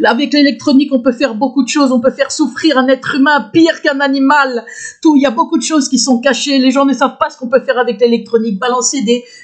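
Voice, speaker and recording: Loud and high-pitched, a woman talks at a very fast pace with fairly even intonation. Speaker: video blogger. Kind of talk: personal testimony monologue. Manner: halting, many fillers and restarts.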